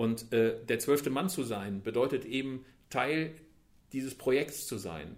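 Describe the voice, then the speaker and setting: This man's voice has a medium pitch and ordinary pitch variation. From Germany, Bielefeld (East Westphalia). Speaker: football magazine editor. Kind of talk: casual interview. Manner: hesitant with many fillers.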